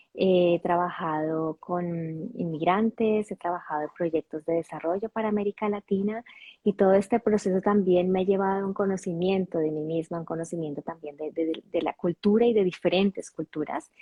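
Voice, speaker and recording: A woman with a Colombian accent speaks at a medium pitch and a moderate pace, her intonation fairly even. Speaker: intercultural coach. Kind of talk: interview. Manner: halting, many fillers and restarts.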